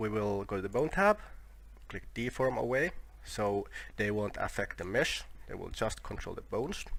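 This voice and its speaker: A man speaks with a non-native accent. He leaves long, frequent pauses. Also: moderate pace. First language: not English. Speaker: 3D software tutorial maker. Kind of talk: tutorial. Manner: halting, with fillers and self-corrections.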